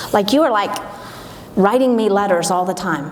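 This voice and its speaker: Noticeable background noise and audible room echo surround a woman speaking in an animated tone at a moderate pace. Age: 60s. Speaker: event speaker, gym manager. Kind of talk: motivational talk. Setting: stage with audience.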